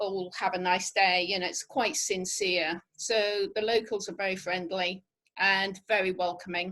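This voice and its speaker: A woman speaks with a Norfolk accent at a fairly slow pace. The background is quiet. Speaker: travel specialist. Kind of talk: webinar presentation. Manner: casual, hesitant with fillers.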